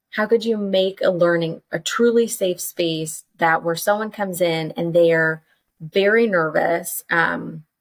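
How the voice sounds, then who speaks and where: A woman speaks fairly slowly in an animated tone. Her pitch is medium, with ordinary pitch variation. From Texas, Dallas-Fort Worth. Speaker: curriculum developer and educator. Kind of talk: casual interview chat. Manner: animated, conversational with many fillers.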